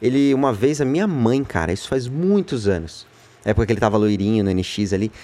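At a fairly quick pace, a man with a medium pitch and a dark, mellow tone speaks with lively intonation. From São Paulo, Brazil (Freguesia do Ó). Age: 30s. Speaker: singer in a music duo. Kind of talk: casual interview chat.

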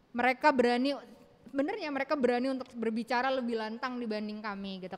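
The pace is very fast. It is a woman speaking, with a high pitch. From Indonesia. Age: 30s. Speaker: doctor. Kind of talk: interview. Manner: halting.

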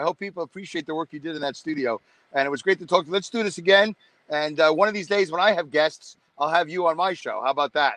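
Recorded with a dry, close sound and no echo, a man with a Brooklyn accent talks very fast at a high pitch in a bright, sharp tone with ordinary pitch variation. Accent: New York (Brooklyn). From Brooklyn, New York. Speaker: podcast host. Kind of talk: casual chat. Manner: animated.

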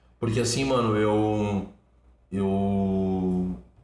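Audible room echo and noticeable background noise fill the recording. A man talks in an animated tone at a fairly low pitch. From southern Brazil, born in Curitiba. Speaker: social activist, founder of a charity kitchen. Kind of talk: casual interview chat. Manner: animated, slangy street talk.

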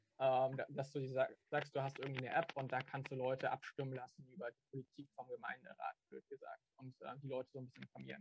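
Somewhat breathy, a man rushes along at a very fast pace with hardly any pauses and fairly even intonation. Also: medium pitch for a man, dry, close sound with no echo. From Stuttgart. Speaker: student and local party activist. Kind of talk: casual interview. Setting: video call.

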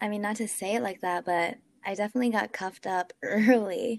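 At a moderate pace, a woman talks with a medium pitch and ordinary pitch variation. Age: 20s. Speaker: podcast guest. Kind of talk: casual chat. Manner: animated.

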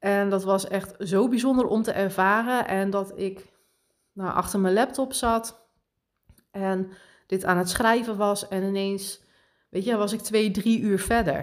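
A woman speaks at a medium pitch with fairly even intonation. Her pace is very slow. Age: 30s. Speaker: podcast host and spiritual coach. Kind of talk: casual monologue.

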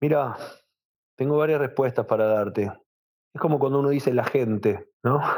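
A man talks in a Rioplatense accent with ordinary pitch variation. His loudness stays very even, broken by long, frequent pauses. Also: medium pitch for a man, moderate pace. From Argentina, Buenos Aires. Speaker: rabbi. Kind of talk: interview.

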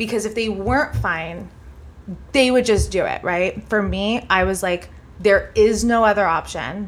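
A woman with an American accent talks at a fairly slow pace in a medium pitch. Her voice has vocal fry and ordinary pitch variation. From US Midwest, Indiana. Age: 30s. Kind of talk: casual chat.

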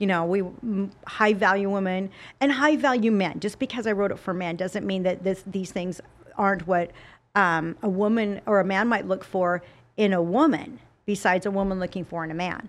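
A woman's plain, everyday voice at medium pitch, with ordinary pitch variation and a moderate pace, on a very clean recording with a silent background. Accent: American. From Utah, US (Salt Lake City). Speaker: fitness model and TV spokesperson. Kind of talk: casual interview chat.

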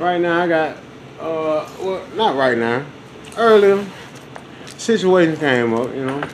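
A man talks with ordinary pitch variation, with audible room echo and noticeable background noise. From US South. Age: 40s. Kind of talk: casual chat. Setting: garage. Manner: animated.

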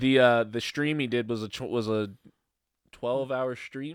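A man talks in an American accent at a moderate pace. His is a plain, everyday voice, medium in pitch with ordinary pitch variation. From Brooklyn, New York. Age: 30s. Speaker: podcast host. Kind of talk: casual chat.

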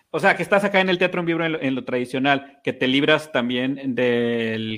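This man has a plain, everyday voice, talking at a moderate pace with ordinary pitch variation. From Mexico, Chihuahua. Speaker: podcast co-host. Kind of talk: casual chat.

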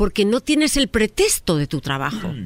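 A woman at a moderate pace, her pitch swinging very widely, in a dry, close sound with no echo. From Spain. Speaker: psychologist relationship advisor. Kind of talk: advice segment on radio.

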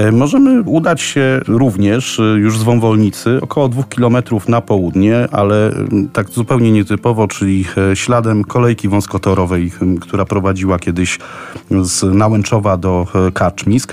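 A man speaks at a moderate pace with fairly low pitch and ordinary pitch variation. His loudness stays very even over noticeable background noise. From Poland, Kraków. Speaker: tour guide. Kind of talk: informal travel recommendations for radio.

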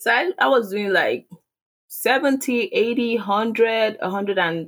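Speaking with a Nigerian accent, a woman uses a fairly high pitch with ordinary pitch variation. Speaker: online seller. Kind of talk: casual interview. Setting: video call.

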